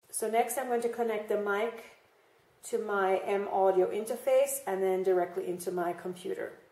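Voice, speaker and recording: With audible room echo, the speaker goes at a moderate pace in fairly even intonation. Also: woman. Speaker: product reviewer. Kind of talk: tutorial. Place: home room.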